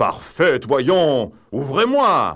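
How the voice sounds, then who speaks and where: Booming and shouting, the speaker uses a put-on character voice. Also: man. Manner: shouting, commanding.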